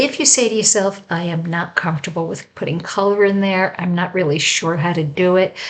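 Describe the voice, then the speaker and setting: An unremarkable speaking voice from a woman, medium in pitch, with ordinary pitch variation and a moderate pace. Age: 60s. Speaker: home staging coach. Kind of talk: tutorial. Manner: conversational, with filler words.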